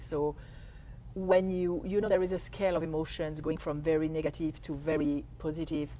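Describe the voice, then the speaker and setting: A woman with a French accent speaks fairly quickly at a very deep, low pitch, her tone dark and mellow and her intonation fairly even. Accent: French accent, can't lose it. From France. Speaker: life coach. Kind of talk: interview, explaining.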